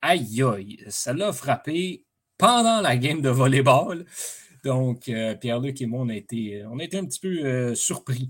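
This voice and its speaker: A man with a Quebec accent talks at a very slow pace with lively intonation. The recording is very clean, with a silent background. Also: medium pitch for a man. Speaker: sports podcast host. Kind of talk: solo sports commentary monologue. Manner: hesitant, many fillers.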